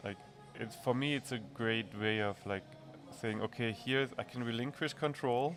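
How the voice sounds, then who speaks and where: Over music in the background, a man talks at a moderate pace and medium pitch with ordinary pitch variation. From Germany. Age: 40s. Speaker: brewery owner. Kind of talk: podcast interview. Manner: halting.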